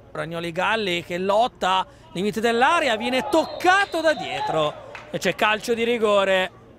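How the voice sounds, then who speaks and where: High male speech at a fairly slow pace, the pitch swinging very widely. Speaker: football commentator. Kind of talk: live sports commentary on highlights. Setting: match highlights voiceover.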